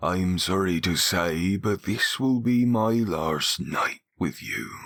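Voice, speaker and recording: Putting on a character voice, a man speaks very deep and low at a fairly slow pace, with ordinary pitch variation. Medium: read story. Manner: humble, deferential.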